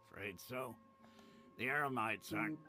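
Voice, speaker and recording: A man uses a put-on character voice, raspy and at a medium pitch with ordinary pitch variation. Clear background noise runs behind him. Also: moderate pace. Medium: video game. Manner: easygoing, amused.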